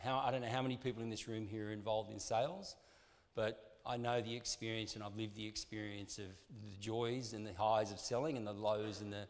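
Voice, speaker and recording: Heard with audible room echo, a man with an Australian accent talks in a fairly low, monotone, flat voice. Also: fairly quick pace. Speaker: sports marketing executive. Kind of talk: conference talk. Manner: hesitant, many fillers.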